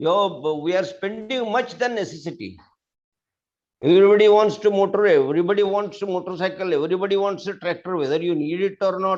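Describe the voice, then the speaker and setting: A fairly quick pace with ordinary pitch variation. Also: man, high pitch for a man. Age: 70s. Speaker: farmer. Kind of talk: Q&A session. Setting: live online meeting. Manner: halting.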